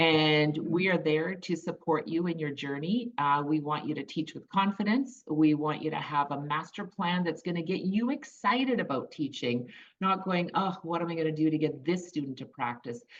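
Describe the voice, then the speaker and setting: At a moderate pace and with hardly any pauses, a woman speaks in a fairly low pitch with lively intonation. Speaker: music education business founder. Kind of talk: video interview chat. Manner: animated.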